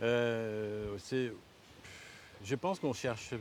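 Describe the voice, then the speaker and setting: He speaks with a French accent. His voice sits at medium pitch and shows ordinary pitch variation. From France. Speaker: herbalist and winemaker. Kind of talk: casual conversation. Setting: outdoors on a foraging walk. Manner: halting, many hesitations.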